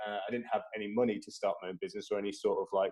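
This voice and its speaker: A man with a slight Midlands accent. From English Midlands, Tamworth. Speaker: social impact lead at a tech company. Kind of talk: casual interview. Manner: hesitant, many fillers.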